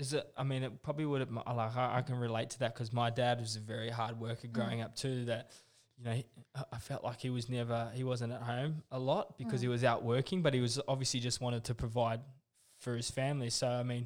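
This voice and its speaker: A medium-pitched man with a New Zealand accent, fairly quick and monotone, with flat intonation. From New Zealand, living in Australia. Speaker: podcast host. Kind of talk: informal. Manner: casual, swears often.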